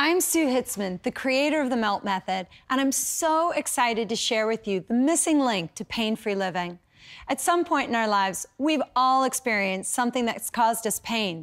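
A woman speaks with lively intonation at a moderate pace, the background quiet. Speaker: program host, method creator. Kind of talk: infomercial presentation. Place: studio. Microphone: lapel.

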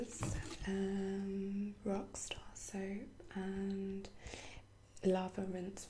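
A soft-spoken woman whispers over noticeable background noise. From UK. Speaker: ASMR creator. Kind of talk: ASMR unboxing, soft-spoken talk to camera. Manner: soft-spoken, whispery. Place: home room. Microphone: webcam.

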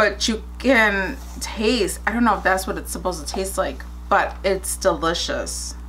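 Her speech unfolds at a fairly slow pace. The woman's voice carries audible room echo. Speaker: YouTuber. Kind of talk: casual vlog.

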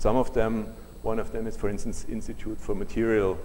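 A man with a German accent speaks at a moderate pace against light background noise. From Germany. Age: 60s. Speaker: solar energy researcher. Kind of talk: lecture. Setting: lecture hall with audience. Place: hall.

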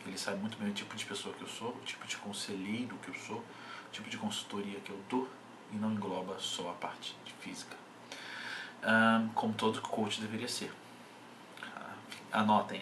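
There is light background noise as a man with a fairly low pitch speaks at a moderate pace in a flat monotone, leaving long, frequent pauses. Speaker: bodybuilding coach. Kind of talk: casual vlog chat. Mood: irritated, ranting. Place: home room. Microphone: webcam.

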